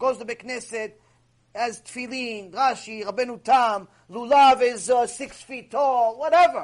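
A man speaks at an extremely high pitch and a fairly slow pace. His tone is passionate. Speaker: Torah teacher. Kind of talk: lecture. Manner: animated; loud, passionate.

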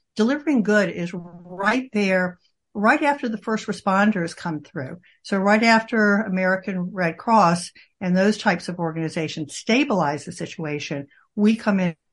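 A woman has an ordinary speaking voice at medium pitch, with lively intonation. She talks at a moderate pace against a quiet background. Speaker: charity executive. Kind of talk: interview.

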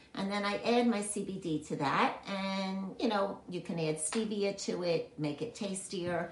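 A woman talks at a fairly slow pace in a medium pitch, with ordinary pitch variation and hardly any pauses. Noticeable background noise sits behind her. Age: 70s. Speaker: wellness coach. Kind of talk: online health talk. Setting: video call. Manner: animated.

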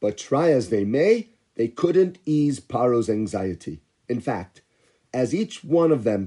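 It is a natural reading voice with lively intonation. The background is quiet.

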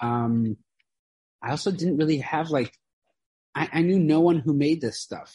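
A man speaks with an American accent at a fairly high pitch and a moderate pace. His tone is dark and mellow, somewhat breathy, with ordinary pitch variation. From US Midwest (Chicago, Iowa). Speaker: furniture maker and business owner. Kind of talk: interview conversation.

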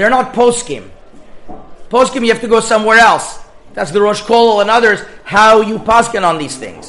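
A high-pitched man's raised, projected voice, with audible room echo and noticeable background noise. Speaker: rabbi teaching a Torah class. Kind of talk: lecture.

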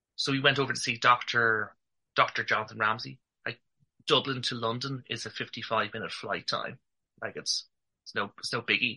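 With an Irish accent, a man talks with long, frequent pauses. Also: moderate pace. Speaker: male infertility advocate. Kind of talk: interview testimony.

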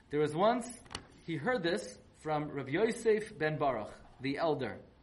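Somewhat breathy speech at a moderate pace with lively intonation. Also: man. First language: not Yiddish. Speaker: rabbi teaching a weekly Torah class. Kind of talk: lecture. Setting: online live class. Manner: animated.

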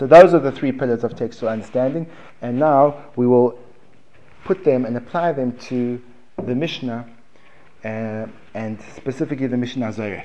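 A man at medium pitch with a South African accent, a dark, mellow tone, ordinary pitch variation, a moderate pace and long, frequent pauses. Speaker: Gemara teacher. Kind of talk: lecture. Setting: classroom with audience.

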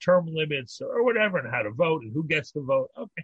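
Fairly quick speech from a man with an American accent and very wide pitch swings. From Pittsburgh, US. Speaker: rabbi. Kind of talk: casual chat.

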